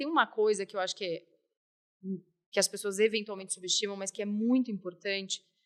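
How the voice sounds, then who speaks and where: A woman with a fairly high pitch talks at a very fast pace in fairly even intonation, her loudness swinging widely, in a dry, close recording with no echo. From Curitiba, southern Brazil. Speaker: company health director, physician. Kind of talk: podcast interview.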